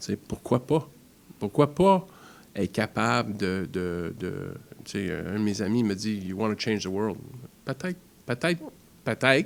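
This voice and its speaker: This man speaks in an English accent at a fairly slow pace, his pitch fairly low and his intonation lively. His loudness swings widely, and he leaves long, frequent pauses. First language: English (speaking French). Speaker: foundation founder. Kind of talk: interview. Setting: studio.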